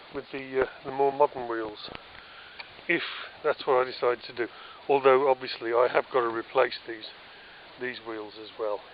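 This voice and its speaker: A man with a British accent speaks at a medium pitch and a moderate pace, with monotone, flat intonation and big swings in loudness. Long, frequent pauses break up his speech over noticeable background noise. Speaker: DIY vlogger restoring a trailer. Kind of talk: casual walkthrough tour. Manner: hesitant with many fillers.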